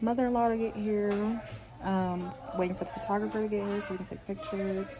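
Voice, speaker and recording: A woman's intonation stays fairly even while noticeable background noise runs underneath. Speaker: vlogger. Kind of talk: casual vlog chat. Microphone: phone near.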